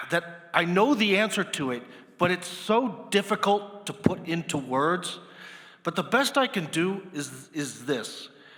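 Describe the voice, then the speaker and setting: With an American accent, a man speaks at a high pitch with lively intonation. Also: fairly slow pace. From United States. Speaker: moderator, political journalist. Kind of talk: panel discussion moderation. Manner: hesitant, many fillers.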